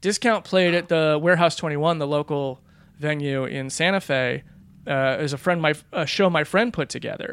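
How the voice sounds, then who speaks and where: In a very clean recording with a silent background, a man uses an ordinary speaking voice, fairly high in pitch, with ordinary pitch variation at a moderate pace. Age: 40s. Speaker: stand-up comedian and podcast host. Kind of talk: casual chat.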